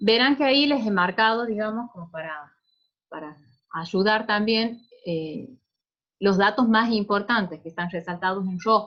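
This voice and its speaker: Talking fairly slowly, a woman with an unremarkable speaking voice and fairly high pitch for a woman shows ordinary pitch variation and big swings in loudness. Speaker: pediatric resident doctor. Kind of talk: clinical case presentation lecture.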